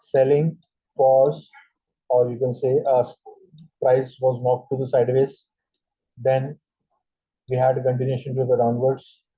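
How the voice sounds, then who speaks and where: Somewhat breathy and monotone, a man with an Indian accent speaks at a fairly slow pace with long, frequent pauses. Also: medium pitch for a man. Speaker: trading instructor. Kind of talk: tutorial. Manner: halting, many fillers.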